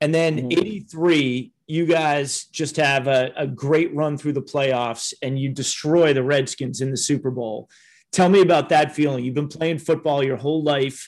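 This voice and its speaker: A man with a fairly high pitch speaks in an ordinary speaking voice at a fairly slow pace. His intonation stays fairly even, with hardly any pauses, against a quiet background. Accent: American. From US Midwest, Minneapolis and Cleveland. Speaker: podcast host. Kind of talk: interview.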